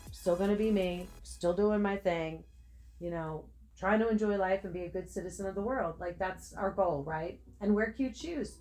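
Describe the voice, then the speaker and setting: Music plays behind a woman speaking at a moderate pace. Her pitch is medium, with ordinary variation. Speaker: spiritual tarot reader. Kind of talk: channeled tarot reading monologue. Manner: casual, hesitant with fillers.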